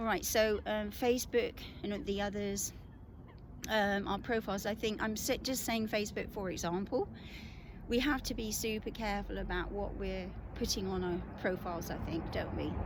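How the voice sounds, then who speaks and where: The speaker talks at a moderate pace in a British accent. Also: woman. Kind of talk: casual talk to camera. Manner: hesitant, conversational.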